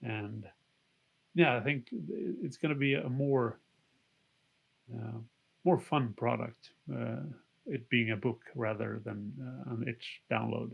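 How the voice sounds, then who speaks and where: A man's medium-pitched voice with vocal fry and ordinary pitch variation, at a very slow pace with long, frequent pauses. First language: not English. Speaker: game designer. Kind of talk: interview. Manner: halting.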